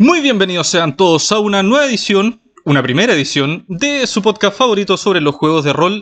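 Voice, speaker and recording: A man with a Chilean accent, high-pitched, at a moderate pace, with very wide pitch swings. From Chile, Chiloé. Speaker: podcast co-host. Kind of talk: casual chat. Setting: in a shop.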